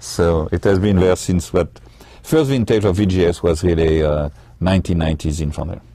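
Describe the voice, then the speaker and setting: A man speaks fairly quickly with a very deep, low pitch and ordinary pitch variation. Background noise is noticeable. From France. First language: French. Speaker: winery owner and winemaker. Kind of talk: casual interview. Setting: live webcast from a winery tasting room.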